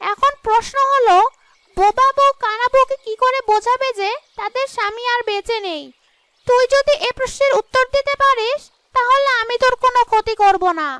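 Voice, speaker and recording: A cartoonish character voice that sounds female cackles at an extremely high pitch. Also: moderate pace. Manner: cackling, taunting.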